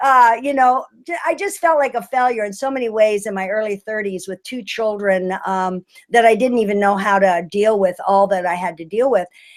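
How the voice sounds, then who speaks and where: With an ordinary speaking voice, a woman speaks at a moderate pace in a fairly high pitch with ordinary pitch variation. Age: 60s. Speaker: healing arts teacher and retreat leader. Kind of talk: webinar presentation. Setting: online webinar.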